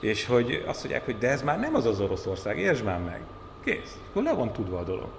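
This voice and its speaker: A man talking at a fairly quick pace amid noticeable background noise and audible room echo. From Hungary, Borsod-Abaúj-Zemplén county. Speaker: journalist and TV talk show host. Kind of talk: casual chat.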